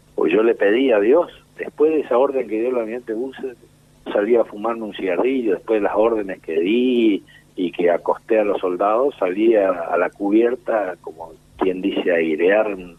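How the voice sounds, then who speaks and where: This is a plain, everyday voice at a moderate pace. The pitch variation is ordinary. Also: man, fairly low pitch for a man. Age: 60s. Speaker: war veteran. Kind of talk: interview. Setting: phone call.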